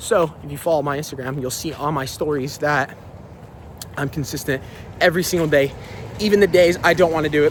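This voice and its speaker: A man with a fairly high pitch talks at a fairly quick pace, using fairly even intonation and long, frequent pauses. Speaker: fitness vlogger. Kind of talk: motivational talk. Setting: outdoors. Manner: halting.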